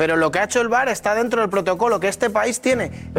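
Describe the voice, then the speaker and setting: A man with a high voice talks at a very fast pace in an animated tone, with music playing in the background. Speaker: football analyst. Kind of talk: sports commentary, analyzing refereeing. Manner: fast, emphatic, repetitive.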